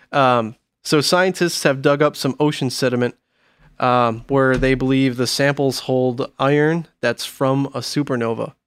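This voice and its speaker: A man with an ordinary speaking voice talks at a fairly slow pace and medium pitch, his intonation fairly even. The recording is very clean, with a silent background. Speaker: metal record label podcast host. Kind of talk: casual chat. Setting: studio.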